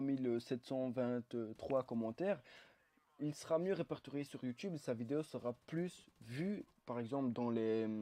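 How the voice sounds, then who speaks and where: With a dry, close sound and no echo, a medium-pitched man speaks at a fairly slow pace in a dark, mellow tone with ordinary pitch variation. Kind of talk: gameplay commentary. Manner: hesitant, many fillers.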